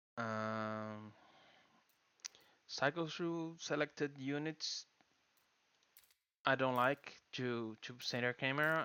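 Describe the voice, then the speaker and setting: The man speaks with a non-native accent. His pitch is medium, with ordinary variation. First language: not English. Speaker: gaming YouTuber. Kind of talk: tutorial. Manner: halting.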